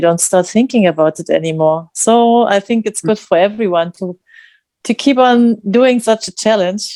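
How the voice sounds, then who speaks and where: A woman's dark, mellow tone with a non-native accent and ordinary pitch variation. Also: dry, close sound with no echo. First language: not English. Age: 50s. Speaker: challenge participant. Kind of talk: group video call sharing. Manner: halting.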